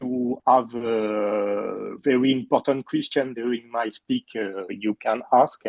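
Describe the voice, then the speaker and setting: A man with a French accent at a medium pitch, very slow pace and fairly even intonation. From France. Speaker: puppeteer and teacher. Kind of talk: talk to online audience. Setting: video call. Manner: halting.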